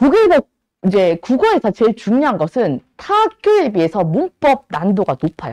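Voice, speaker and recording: A woman speaks at a moderate pace with a fairly high pitch, very wide pitch swings and vocal fry, the sound dry and close with no echo. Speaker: Korean language cram-school teacher. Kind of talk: lecture. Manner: talkative, admits to nagging a lot.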